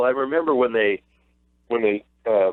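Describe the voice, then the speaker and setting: This man has a plain, everyday voice at medium pitch. His pace is moderate. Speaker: radio play-by-play broadcaster for a basketball team. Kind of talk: radio sports interview answer.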